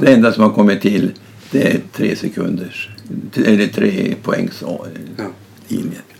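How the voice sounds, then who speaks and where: A man speaks with long, frequent pauses. Noticeable background noise runs underneath. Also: fairly slow pace. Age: 80s+. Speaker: retired basketball coach. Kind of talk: casual interview.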